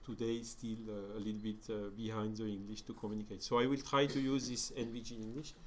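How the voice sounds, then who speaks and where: A man's medium-pitched voice with a French accent, fairly quick in pace and fairly even in intonation, with audible room echo. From France. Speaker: spiritist lecturer. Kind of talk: lecture. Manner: halting, many fillers.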